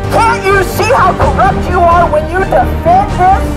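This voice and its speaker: Loud music plays in the background as the speaker talks at a fairly slow pace. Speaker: street preacher. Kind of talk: open-air street preaching, shouted rebuke. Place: street.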